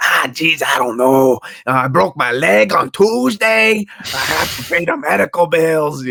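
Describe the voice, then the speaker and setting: A put-on character voice at a low-to-middle pitch, delivered at a moderate pace. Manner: whiny, excuse-making.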